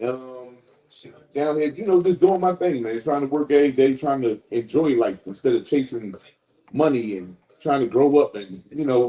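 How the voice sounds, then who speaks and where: A man with a Philadelphia accent, fairly high pitch, dark, mellow tone, lively intonation, big swings in loudness and a moderate pace. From West Philadelphia. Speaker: podcast guest. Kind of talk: casual chat.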